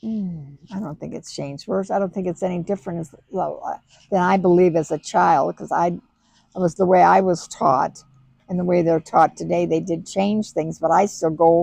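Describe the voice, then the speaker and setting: Over music in the background, a woman talks with fairly even intonation at a fairly low pitch. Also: moderate pace. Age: 80s+. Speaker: great-grandmother. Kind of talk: interview answer.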